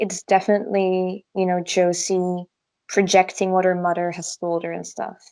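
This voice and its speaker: Against a quiet background, a woman speaks with a non-native accent at a fairly slow pace. Her tone is dark and mellow, and her pitch is medium. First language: not English. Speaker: podcast co-host. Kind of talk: casual chat.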